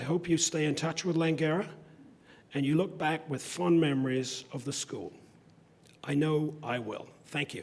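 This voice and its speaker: A man with a fairly high pitch talks at a moderate pace, with fairly even intonation and long, frequent pauses. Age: 60s. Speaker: convocation speaker. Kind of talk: commencement speech.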